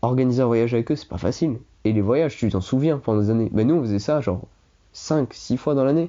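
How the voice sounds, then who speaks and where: A man at medium pitch and a very fast pace. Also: ordinary pitch variation. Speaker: former exchange student. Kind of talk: casual chat.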